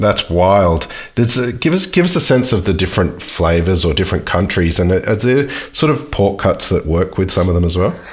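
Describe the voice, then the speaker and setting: Keeping a very even loudness, a man with a fairly low, somewhat breathy voice talks at a moderate pace with lively intonation. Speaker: podcast host. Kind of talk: casual interview.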